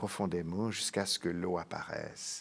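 A man at a fairly slow pace. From French-speaking Switzerland. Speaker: psychiatrist and professor; professor. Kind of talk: interview. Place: studio.

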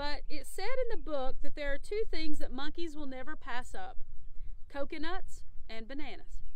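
A woman speaks at a high pitch, and the sound is dry with no echo. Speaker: storyteller reading a children's book. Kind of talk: read-aloud storytelling. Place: waterside.

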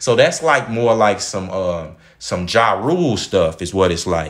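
A fairly slow-paced male speaker with an American accent. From Dallas, Texas (Oak Cliff). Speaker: YouTube commentator. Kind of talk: commentary monologue.

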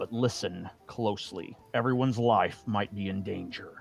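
A man puts on a character voice at a medium pitch. Clear music plays in the background. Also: moderate pace. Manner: urgent, speaking through clenched teeth.

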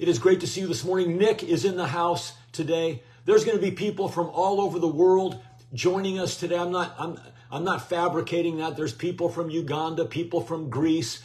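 At a fairly quick pace, a man talks in a high pitch. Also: ordinary pitch variation. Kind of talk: live-stream devotional greeting. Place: home room. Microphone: phone near.

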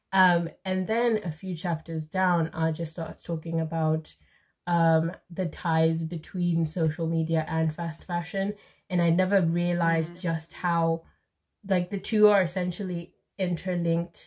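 In a fairly low, somewhat breathy voice, a woman speaks at a fairly slow pace with monotone, flat intonation. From Zimbabwe. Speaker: YouTuber; co-host of a book chat. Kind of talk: casual chat. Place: home room.

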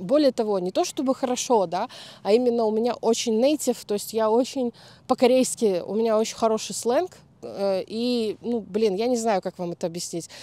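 A woman's fairly high voice, dark and mellow in tone, with lively intonation at a moderate pace, in a dry, close sound with no echo and a very clean recording against a silent background. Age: 30s. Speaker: YouTube vlogger. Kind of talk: casual talk to camera.

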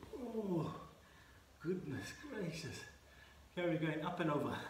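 This man's voice is high, and he speaks at a fairly slow pace. Light background noise and audible room echo surround him. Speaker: fitness instructor. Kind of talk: workout instruction. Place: garden. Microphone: camera far.

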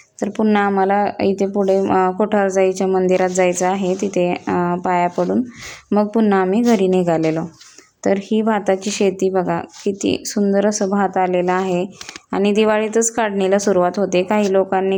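Through noticeable background noise, a woman speaks in a flat monotone at a medium pitch, her loudness very even. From Maharashtra, rural Pune district. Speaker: village vlogger. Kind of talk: travel vlog narration.

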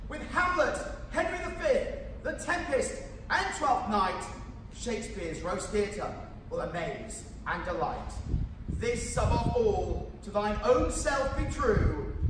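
Over noticeable background noise and audible room echo, a man speaks at a very slow pace, pausing long and often. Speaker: town crier. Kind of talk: town crier proclamation in rhyming verse. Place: stage.

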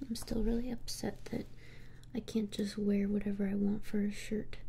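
Over light background noise, a woman with a dark, mellow, somewhat breathy tone speaks at a moderate pace in a monotone, flat intonation. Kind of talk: casual roleplay chat. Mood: sulky, low-key. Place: home room.

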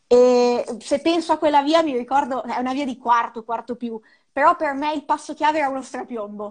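Over a quiet background, a woman speaks with a high pitch. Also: ordinary pitch variation, fairly quick pace. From Ravenna, Emilia-Romagna, Italy; Emilia-Romagna, Italy. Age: 20s. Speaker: snowboard instructor and mountain guide; snowboard instructor, mountain guide. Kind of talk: interview. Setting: live video call. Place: home room. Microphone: earbuds.

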